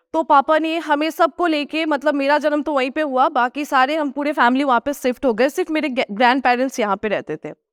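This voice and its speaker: Moderate pace and hardly any pauses from a woman with a Nepali accent, high pitch and fairly even intonation, in a dry, close sound with no echo. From Sikkim, India (Gangtok). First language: Nepali (speaking Hindi). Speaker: food vlogger. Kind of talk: motivational talk.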